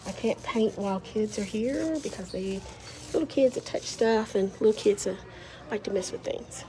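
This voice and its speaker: A woman with a fairly high pitch talks at a moderate pace while noticeable background noise carries on. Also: ordinary pitch variation. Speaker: muralist. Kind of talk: casual vlog narration. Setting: school hallway.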